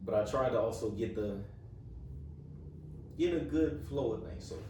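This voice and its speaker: Audible room echo surrounds a man with an American accent whose medium-pitched voice makes very wide pitch swings. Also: moderate pace. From Florida. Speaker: interviewer. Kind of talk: interview.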